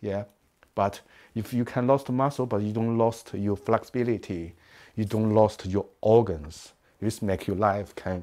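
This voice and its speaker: Against a quiet background, a man speaks fairly slowly in a dark, mellow tone at a fairly low pitch. His intonation stays fairly even, broken by long, frequent pauses. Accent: Chinese. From China. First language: Chinese. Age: 50s. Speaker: martial arts master and teacher; teacher. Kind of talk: interview; interview answer. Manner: halting, with many fillers. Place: home room. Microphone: lapel.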